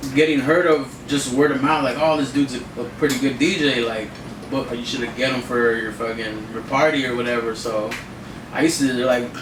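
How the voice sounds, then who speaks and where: Audible room echo and noticeable background noise fill the clip. A man talks with fairly even intonation. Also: medium pitch for a man, fairly quick pace. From Watsonville, California. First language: Spanish. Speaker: DJ. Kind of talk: interview. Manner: casual, halting.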